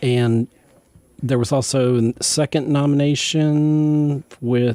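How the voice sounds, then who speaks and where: In an American accent, a man talks at a fairly high pitch. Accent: southern drawl, comes out at times. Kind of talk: radio interview. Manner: animated.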